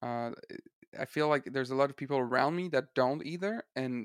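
A man with a Quebec accent is speaking. His pace is fairly quick. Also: dry, close sound with no echo. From Eastern Quebec. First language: French. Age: 20s. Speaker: singer-songwriter. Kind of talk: casual chat. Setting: video call. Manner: halting.

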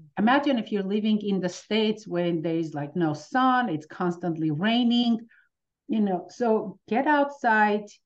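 A woman with an Armenian accent, medium pitch and a moderate pace. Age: 50s. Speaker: pain relief practitioner. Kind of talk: interview.

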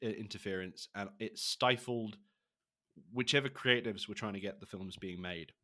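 Recorded very cleanly against a silent background, a man with a British accent talks in a bright, sharp tone, with ordinary pitch variation and big swings in loudness. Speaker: podcast co-host. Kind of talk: casual chat.

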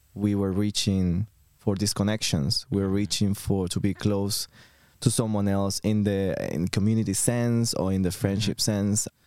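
Speaking fairly slowly with a Venezuelan accent, a man uses a fairly low pitch and a dark, mellow tone. His intonation is monotone and flat, his loudness very even, and the recording is very clean with a silent background. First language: Spanish. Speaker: podcast collective member. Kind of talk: casual chat.

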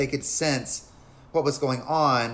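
A man with an American accent, a plain, everyday voice, medium pitch and a moderate pace. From US South, North Carolina (Lincolnton). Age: 40s. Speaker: comedian and actor. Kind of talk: casual chat.

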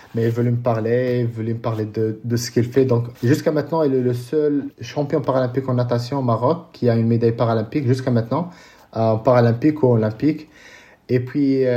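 Fairly even in intonation, a man speaks in a dark, mellow tone. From Morocco, Casablanca. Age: 30s. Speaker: paralympic triathlete. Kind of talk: interview. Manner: halting, many repetitions.

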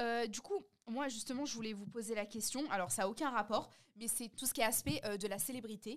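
A woman with a plain, everyday voice speaks fairly quickly at a fairly high pitch, with ordinary pitch variation. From France. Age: 20s. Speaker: podcast host and content creator. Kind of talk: casual chat.

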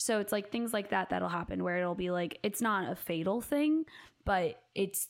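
Her animated tone carries vocal fry, and this woman's recording is very clean with a silent background. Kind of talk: casual chat, podcast banter. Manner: animated, joking.

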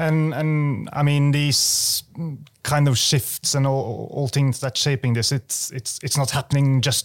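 A medium-pitched man talks with a Norwegian accent at a fairly slow pace. The sound is dry and close, with no echo. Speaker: podcast host. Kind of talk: interview. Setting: studio.

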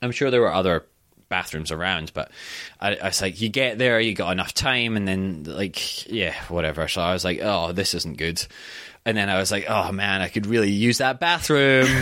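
A man speaks at a fairly low pitch with a bright, sharp tone. His intonation is lively and his tone animated. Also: moderate pace. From Scotland. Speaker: actor. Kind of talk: casual chat. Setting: studio. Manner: animated, sweary.

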